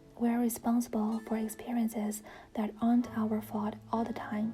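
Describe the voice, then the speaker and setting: A woman's fairly high-pitched voice with a non-native accent, monotone, flat intonation and a fairly slow pace, over music in the background. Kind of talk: reading book quotes aloud (read-with-me, self-help).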